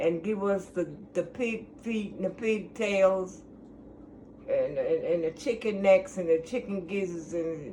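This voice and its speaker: Someone speaks with an American accent at a fairly slow pace. Noticeable background noise is present. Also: woman, medium pitch for a woman, ordinary pitch variation. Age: 80s+. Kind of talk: interview answer.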